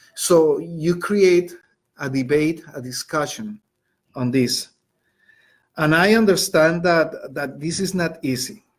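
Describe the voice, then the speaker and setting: Here a man speaks with a Colombian accent. His pace is very slow. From Colombia, Bogota. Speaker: high school Spanish teacher. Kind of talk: educational webinar. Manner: conversational with frequent fillers.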